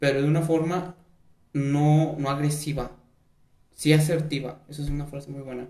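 Somewhat breathy and dark, mellow in tone, a man speaks at a moderate pace with fairly even intonation and a fairly high pitch. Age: 20s. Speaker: podcast host. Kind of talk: casual chat.

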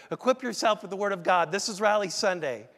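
In a very clean recording with a silent background, a man speaks at a high pitch with ordinary pitch variation. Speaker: pastor. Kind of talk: sermon. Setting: church. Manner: seated, may get animated.

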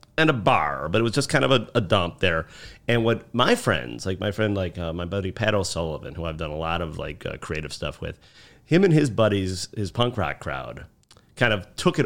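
Moving at a fairly quick pace, the man speaks with a very deep, low pitch. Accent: Chicago. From Chicago South Side. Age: 40s. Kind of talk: casual chat.

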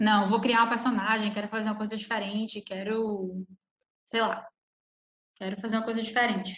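At a fairly quick pace broken by long, frequent pauses, a woman with a fairly high pitch talks in a monotone, flat intonation. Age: 20s. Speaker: poet. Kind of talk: casual chat.

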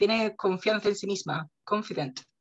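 At a moderate pace, a woman speaks in an unremarkable speaking voice. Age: 30s. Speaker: podcast co-host. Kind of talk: casual chat.

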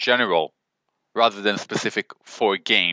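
A man talking at a moderate pace. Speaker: podcast host. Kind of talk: casual interview chat.

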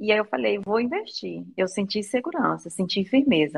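A woman at a moderate pace. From Brazil, Maranhão. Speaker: language student giving testimonial. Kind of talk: testimony.

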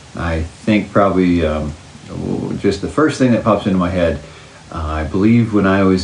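With an American accent, a man talks at a moderate pace in a very deep, low pitch. Noticeable background noise and audible room echo fill the recording. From Oklahoma, US. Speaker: parent interviewee. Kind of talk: casual interview.

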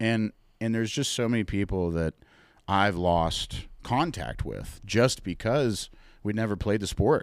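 A man with an American accent and a normal speaking voice talks at a fairly slow pace and fairly low pitch, with ordinary pitch variation, in a very clean recording with a silent background. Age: 20s. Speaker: cigar sales rep. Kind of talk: casual chat.

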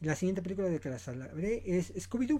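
A man's fairly high voice with a dark, mellow tone, at a fairly quick pace. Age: 40s. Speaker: podcast host, film commentator. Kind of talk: solo podcast commentary. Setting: home studio, self-produced.

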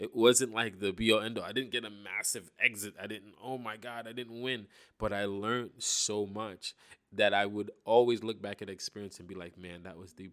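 In a very clean recording with a silent background, a man uses a normal speaking voice, fairly low in pitch and fairly even in intonation, at a moderate pace with big swings in loudness. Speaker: podcast host. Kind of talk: casual solo monologue.

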